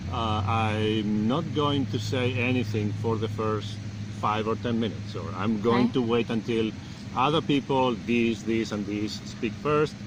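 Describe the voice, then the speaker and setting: Over noticeable background noise, a man talks at a fairly slow pace with a fairly low pitch and fairly even intonation. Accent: Spanish. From Spain. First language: Spanish. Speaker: business school dean. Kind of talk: interview answer. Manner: hesitant, thoughtful.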